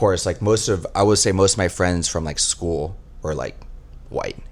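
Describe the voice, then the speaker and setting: A man talks with a Texas accent. His pace is moderate. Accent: American, Texas. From Texas, Dallas area. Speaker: flight attendant. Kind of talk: casual chat.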